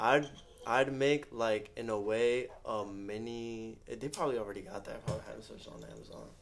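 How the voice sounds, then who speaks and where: A man with a normal speaking voice at a medium pitch, ordinary pitch variation and big swings in loudness. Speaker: podcast co-host. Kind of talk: casual chat.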